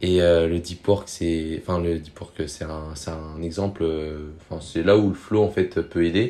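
A man with a very deep, low voice and a dark, mellow tone talks at a fairly slow pace, his loudness swinging widely. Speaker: podcast guest. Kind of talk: casual chat. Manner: animated.

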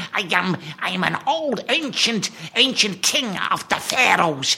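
A put-on character voice, female-sounding, at a middle pitch and a fairly slow pace. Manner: grandiose.

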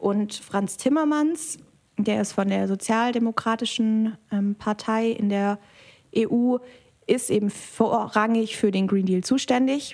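A woman with a fairly high voice speaks at a fairly slow pace, her intonation fairly even. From Germany, Biberach (Upper Swabia). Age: 20s. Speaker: political scientist. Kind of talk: interview. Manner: hesitant fillers.

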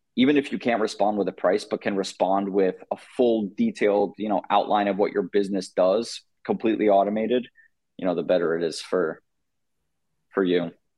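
Speaking at a fairly quick pace, a man with a normal speaking voice keeps his fairly low pitch on fairly even intonation. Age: 20s. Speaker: apparel and merch business founder. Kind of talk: interview. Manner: casual, filler-heavy.

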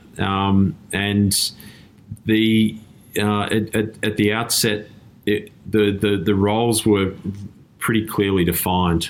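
A man with an Australian accent and a fairly low pitch speaks at a very slow pace with long, frequent pauses, monotone, flat intonation and very even loudness. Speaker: tech company CEO. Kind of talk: interview. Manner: halting, many repeated words.

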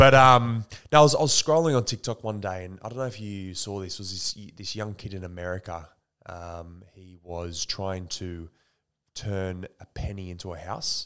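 A man with an Australian accent speaks at a moderate pace in a fairly low pitch with ordinary pitch variation and big swings in loudness, on a very clean recording with a silent background. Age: 20s. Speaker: actor and entrepreneur. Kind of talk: casual chat. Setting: at his home.

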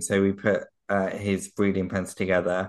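Against a quiet background, a man with a southern English accent speaks in a fairly low pitch. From England, Surrey. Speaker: poultry podcast co-host and fancier. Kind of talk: casual chat. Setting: remote recording.

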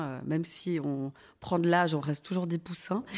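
Her fairly slow pace and ordinary pitch variation come through on a very clean recording with a silent background, where a woman is talking. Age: 40s. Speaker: organ transplant recipient. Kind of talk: testimony. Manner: halting.

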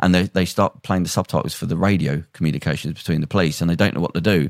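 With vocal fry and a very deep, low pitch, a man speaks at a very fast pace in a dry, close sound with no echo. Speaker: podcast host. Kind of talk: casual chat.

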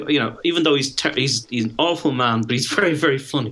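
Against noticeable background noise, a man with an English accent talks at a medium pitch with ordinary pitch variation. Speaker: podcast guest. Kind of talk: casual chat. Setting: video call.

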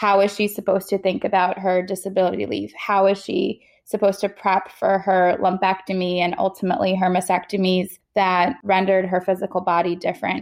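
A woman at a medium pitch, fairly quick pace, monotone, flat intonation and very even loudness. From Queens, New York. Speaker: cancer survivor and startup founder. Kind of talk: interview.

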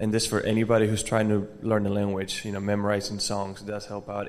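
Speaking at a fairly quick pace with an American accent, a man with a fairly low pitch and a slightly mellow tone shows little pitch movement.

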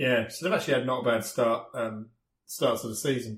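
This man has an English accent. He talks at a medium pitch and a fairly quick pace. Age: 40s. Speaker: podcast host. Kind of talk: casual chat.

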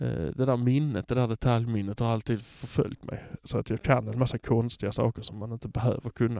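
A man with a dark, mellow tone speaks at a fairly quick pace with hardly any pauses. His intonation is fairly even, and the sound is dry and close with no echo. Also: medium pitch for a man. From Skåne, southern Sweden. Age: 40s. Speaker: podcast editor hosting an episode. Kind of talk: casual personal monologue.

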